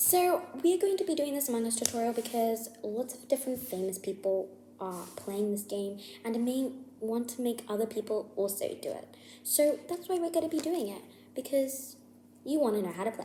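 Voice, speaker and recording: Over noticeable background noise, a woman mumbles at a fairly quick pace. Her high voice has lively intonation. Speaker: gaming YouTuber. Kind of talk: casual game tutorial to viewers. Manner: mumbling.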